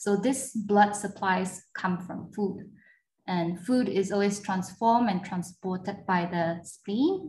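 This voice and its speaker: At a very slow pace, a woman with a medium pitch speaks somewhat breathily with fairly even intonation. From Japan. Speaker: traditional Chinese medicine physician. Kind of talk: interview.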